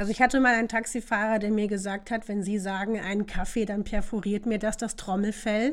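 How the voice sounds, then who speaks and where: A woman speaks in a fairly high, monotone, flat voice at a fairly quick pace. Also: hardly any pauses. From northern Germany, Osnabrück. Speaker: podcast guest. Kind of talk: casual chat.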